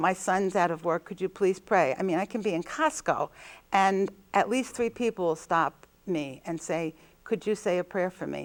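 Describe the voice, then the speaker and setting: In a New Jersey accent, a woman with medium pitch talks at a moderate pace with lively intonation, her voice dry and close with no echo on a very clean recording against a silent background. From New Jersey, Jersey City. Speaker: nun. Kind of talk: interview.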